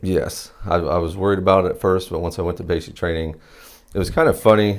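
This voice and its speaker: With a very deep, low pitch, a man speaks at a very fast pace and with fairly even intonation. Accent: southern Ohio. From Southern Ohio, Athens County. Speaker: military veteran. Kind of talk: interview.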